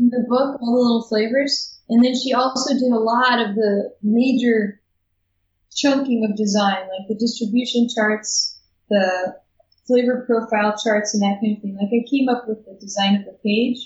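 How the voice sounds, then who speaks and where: A woman with a normal speaking voice, pitched fairly high, keeps her intonation fairly even while her loudness swings widely. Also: moderate pace. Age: 30s. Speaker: sommelier and graphic designer. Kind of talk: casual interview. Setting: video call.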